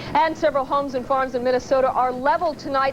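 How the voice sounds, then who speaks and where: Noticeable background noise runs behind the speaker. She is a woman with a high pitch. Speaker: TV news co-anchor. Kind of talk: local TV newscast anchoring.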